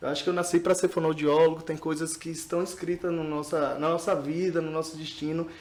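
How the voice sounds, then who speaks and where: Talking at a fairly quick pace, a man with a high pitch keeps his intonation monotone and flat. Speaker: speech therapist. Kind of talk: podcast interview.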